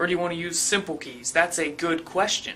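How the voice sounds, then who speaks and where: With noticeable noise behind it, the talking runs fairly fast. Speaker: online tutorial instructor. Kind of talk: tutorial. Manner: animated.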